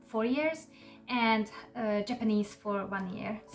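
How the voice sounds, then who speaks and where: Music plays in the background as a woman speaks at a fairly high pitch with ordinary pitch variation. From Hungary. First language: Hungarian. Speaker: YouTuber. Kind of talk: casual explainer monologue.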